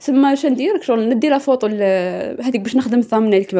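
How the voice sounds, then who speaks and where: Her intonation moves in a lively way. The speaker is a woman. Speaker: YouTuber. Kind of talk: tutorial. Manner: fast.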